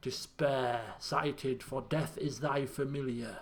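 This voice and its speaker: A man uses a put-on character voice at a medium pitch. He goes at a fairly slow pace with fairly even intonation. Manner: ominous.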